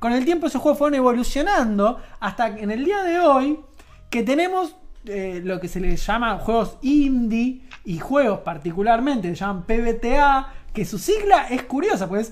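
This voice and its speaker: In an Argentine accent, a woman with a high pitch speaks at a fairly slow pace. Her pitch swings very widely. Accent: Argentine Spanish (Rioplatense). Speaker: radio show co-host. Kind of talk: casual chat.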